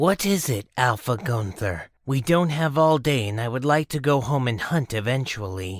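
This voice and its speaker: A man's put-on character voice at a medium pitch, in a very clean recording with a silent background. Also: moderate pace, hardly any pauses. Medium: audio drama.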